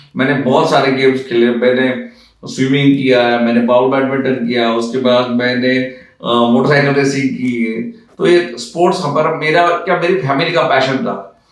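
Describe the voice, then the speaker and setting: The speech runs with hardly any pauses and ordinary pitch variation, with audible room echo and noticeable background noise. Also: man, medium pitch for a man. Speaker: aviation company founder and pilot. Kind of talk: interview. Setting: studio. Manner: halting.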